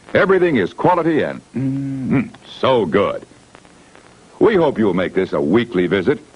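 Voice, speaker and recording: A man's medium-pitched, cheerful voice with very wide pitch swings, over noticeable background noise. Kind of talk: vintage drive-in welcome announcement. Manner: cheerful, friendly.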